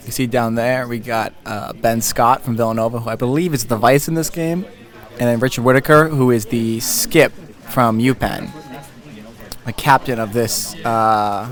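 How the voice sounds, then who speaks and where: Over music in the background, a man speaks quietly at medium pitch and a moderate pace, with fairly even intonation and long, frequent pauses. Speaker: curling commentator. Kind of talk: live commentary. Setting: curling club. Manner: quiet, mellow.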